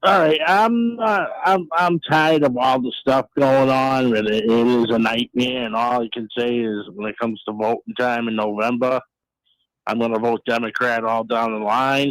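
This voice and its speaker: A man with a Boston accent and ordinary pitch variation. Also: medium pitch for a man, moderate pace, dry, close sound with no echo. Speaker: radio call-in caller.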